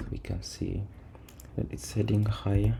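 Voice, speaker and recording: Noticeable background noise sits under a soft-spoken voice moving at a moderate pace. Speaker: trading vlogger. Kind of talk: tutorial. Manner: low-key, soft; halting.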